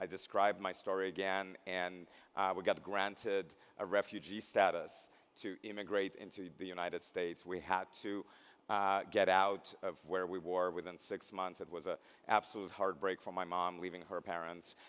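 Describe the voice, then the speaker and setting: The speaker has a Russian accent and a monotone, flat intonation. The pace is moderate. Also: man, very deep, low pitch for a man. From Belarus. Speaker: nurse and keynote speaker. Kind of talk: commencement speech. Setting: stage with audience.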